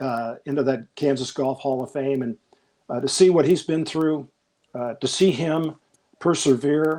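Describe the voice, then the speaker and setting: Speaking with an American accent, a man has a fairly high pitch. He goes at a fairly slow pace with ordinary pitch variation. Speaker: golf broadcaster. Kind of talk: interview. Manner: relaxed but passionate.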